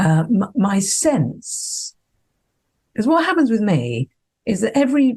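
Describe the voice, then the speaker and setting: A woman speaks at a very slow pace. Her voice is somewhat breathy with a dark, mellow tone. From Scotland. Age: 60s. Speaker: psychologist and consciousness mentor. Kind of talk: podcast interview.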